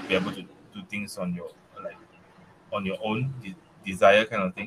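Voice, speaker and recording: Over noticeable background noise, a man speaks with a Malaysian accent. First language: not English. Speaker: technical staff member. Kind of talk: casual interview. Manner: halting, many repetitions and fillers.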